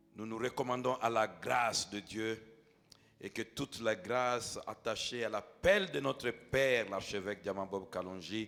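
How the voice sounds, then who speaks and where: A man talks at a fairly slow pace in a medium-pitched voice. His pitch varies in an ordinary way. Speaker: pastor. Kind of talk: sermon. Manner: loud.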